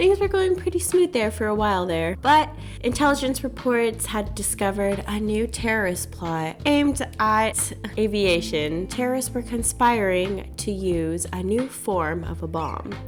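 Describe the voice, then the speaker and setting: Music in the background behind a woman speaking at a fairly slow pace. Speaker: travel content creator. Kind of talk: casual talk to camera.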